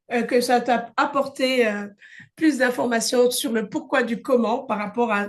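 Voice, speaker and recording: At a fairly slow pace, a woman talks in a normal speaking voice, fairly high in pitch, with ordinary pitch variation. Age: 50s. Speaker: wellness coach and conference host. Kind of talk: online conference.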